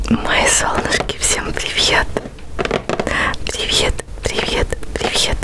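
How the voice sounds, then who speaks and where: A woman talks at a very slow pace against loud background noise. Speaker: ASMR creator. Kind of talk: ASMR product review. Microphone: studio mic.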